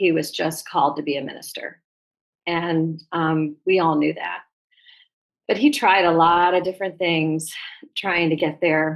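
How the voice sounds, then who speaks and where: Against a quiet background, a woman with an American accent speaks at a fairly slow pace with fairly even intonation and long, frequent pauses. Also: fairly low pitch for a woman. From US Midwest, Ohio. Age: 60s. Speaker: retired teacher, program member. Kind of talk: interview testimony.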